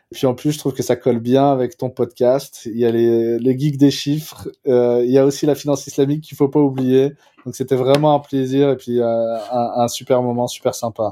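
Dark, mellow male voice at medium pitch, monotone and flat, moderate pace with hardly any pauses. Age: 40s. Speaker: fintech founder and CEO. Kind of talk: interview. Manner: hesitant, many filler sounds.

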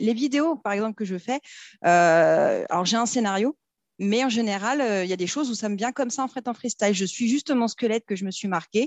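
Her pitch is fairly high for a woman, and her intonation is lively. She speaks at a fairly quick pace. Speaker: business owner in debt collection. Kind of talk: casual interview chat. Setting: studio, recorded in person. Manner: animated, laughing often.

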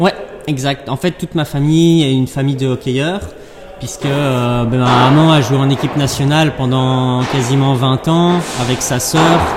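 The speech moves at a fairly slow pace with fairly even intonation. Background noise is noticeable. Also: man, fairly high pitch for a man. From Belgium, Brussels area. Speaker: padel player and sports director. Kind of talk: interview. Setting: padel club with training in background.

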